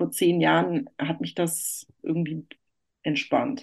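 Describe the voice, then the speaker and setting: Against a quiet background, a woman with an unremarkable speaking voice talks at a moderate pace and a fairly low pitch. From northern Germany, Hamburg. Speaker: journalist and architecture critic. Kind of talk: interview. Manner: many filler sounds (äh, ähm).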